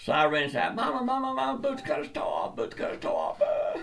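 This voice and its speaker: A man with a Georgia accent talks at a fairly quick pace. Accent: Southern US (Georgia). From US South, South Georgia. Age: 70s. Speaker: comedian. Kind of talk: storytelling monologue. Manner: halting, repeats words.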